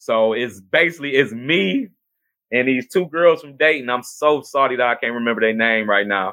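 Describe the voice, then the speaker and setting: An ordinary speaking voice at a moderate pace, with ordinary pitch variation and big swings in loudness. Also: man, medium pitch for a man. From US Midwest, Cleveland, Ohio. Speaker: podcast host. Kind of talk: casual livestream talk. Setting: home video stream.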